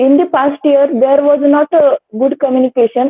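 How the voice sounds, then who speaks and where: At a moderate pace, a woman with a Marathi accent speaks in a high voice with fairly even intonation. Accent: Indian English, Marathi. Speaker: interview candidate. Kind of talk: practice lecturette. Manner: halting, many fillers.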